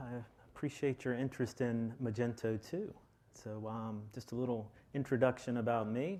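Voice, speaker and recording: A man with a Texan accent at a medium pitch and moderate pace, with big swings in loudness, on a very clean recording with a silent background. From Texas, Austin. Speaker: software lead architect. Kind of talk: conference presentation. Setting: stage with audience. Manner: halting, many filler ums.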